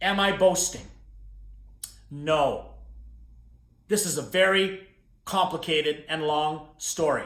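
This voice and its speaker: Talking at a very slow pace with long, frequent pauses, a man with a western Canadian accent is heard amid audible room echo. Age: 60s. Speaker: motivational speaker. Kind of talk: keynote talk to camera. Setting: recorded video. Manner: animated.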